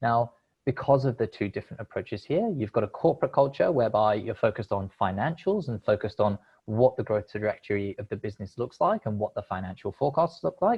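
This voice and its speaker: Speaking at a very fast pace, a man with a medium pitch sounds somewhat breathy, his intonation lively. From United Kingdom. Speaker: crowdfunding platform representative. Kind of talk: presentation.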